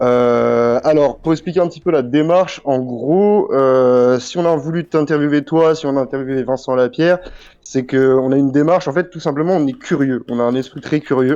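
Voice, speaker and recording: Speaking at a moderate pace, a man's fairly high voice has a dark, mellow tone and ordinary pitch variation. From France, Brittany (Brest). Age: 20s. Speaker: YouTube channel creator and interviewer. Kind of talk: interview.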